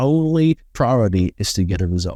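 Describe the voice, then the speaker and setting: A man speaks with a British accent and a dark, mellow tone. The sound is dry and close, with no echo. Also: very clean recording, silent background. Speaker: business consultant. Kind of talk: interview. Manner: articulate, measured.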